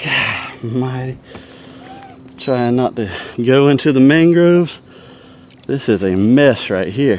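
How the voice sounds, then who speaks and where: With a Southern US accent, a man speaks very slowly at a medium pitch with lively intonation and long, frequent pauses, over noticeable background noise. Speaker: fishing video host. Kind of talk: live fishing commentary. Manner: animated; quiet.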